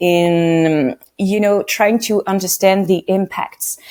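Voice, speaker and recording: A woman talks at a very slow pace in a dark, mellow tone. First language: French. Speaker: radio producer. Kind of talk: podcast interview.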